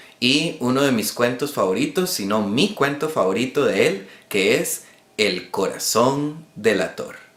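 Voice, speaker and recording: Lively in intonation, a man talks at a very slow pace. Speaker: booktuber. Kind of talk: casual talk to camera.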